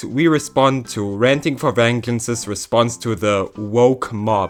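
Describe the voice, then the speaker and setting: With music in the background, a man of medium pitch speaks with fairly even intonation. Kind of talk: commentary video.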